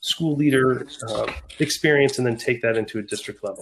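Man with an ordinary speaking voice, fairly quick pace and fairly even intonation, very clean recording with a silent background. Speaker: school district administrator. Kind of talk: podcast interview.

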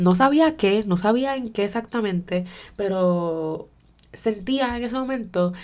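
A woman speaks with a Puerto Rican accent. Her tone is dark and mellow, with ordinary pitch variation. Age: 20s. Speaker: podcast host. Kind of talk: personal monologue. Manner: code-switching Spanish-English.

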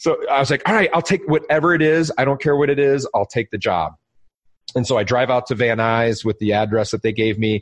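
A man talks at a fairly quick pace with an American accent. His loudness stays very even, and the sound is dry and close with no echo. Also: medium pitch for a man, lively intonation. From US Midwest, suburban Detroit, Michigan. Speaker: entrepreneur, video storytelling company founder. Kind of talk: interview, casual chat. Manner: halting, with frequent fillers.

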